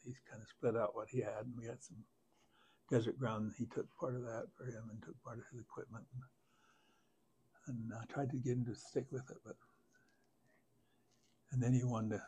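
A man with a dark, mellow, somewhat breathy tone, fairly even intonation and big swings in loudness, at a fairly quick pace with long, frequent pauses over light background noise. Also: medium pitch for a man. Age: 80s+. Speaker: farmer. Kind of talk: interview answer. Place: home room. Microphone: lapel.

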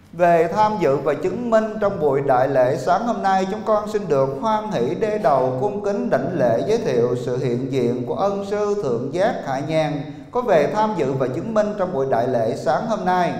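A man with a high pitch talks at a moderate pace, with hardly any pauses and very wide pitch swings. There is audible room echo. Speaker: ceremony emcee. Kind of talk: formal ceremonial announcement. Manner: formal. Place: hall. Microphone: handheld.

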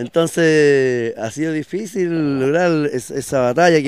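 A man speaks with a fairly high pitch, in a dry sound with no echo. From Chile, O'Higgins region (Quinta de Tilcoco); O'Higgins, Chile. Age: 40s. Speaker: local politician. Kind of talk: interview. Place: street. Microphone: handheld.

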